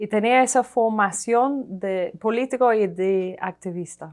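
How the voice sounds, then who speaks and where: In a very clean recording with a silent background, a woman with an English accent speaks at a very slow pace and fairly high pitch, with ordinary pitch variation. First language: English (speaking Spanish). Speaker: economic historian, professor. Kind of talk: TV interview. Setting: TV studio. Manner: hesitant, with fillers.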